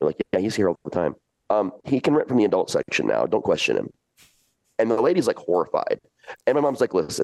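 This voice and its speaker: A man talks at a very fast pace but leaves long, frequent pauses, keeping his loudness very even. The sound is dry and close, with no echo. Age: 40s. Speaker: horror entertainer and storyteller. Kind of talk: casual chat. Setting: video call.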